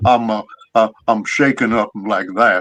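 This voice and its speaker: In a shaky, put-on character voice, a man talks at a medium pitch and a fairly slow pace with fairly even intonation. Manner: shaking.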